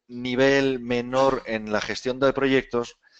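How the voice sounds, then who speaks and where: A man with a Spanish accent, medium in pitch. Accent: Spain Spanish. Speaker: webinar presenter. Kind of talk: webinar presentation. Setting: online webinar. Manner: casual, filler-heavy.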